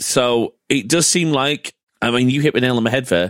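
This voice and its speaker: Heard in a dry, close sound with no echo, a man with a British accent speaks with lively intonation. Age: 30s. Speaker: podcast host. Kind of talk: casual chat.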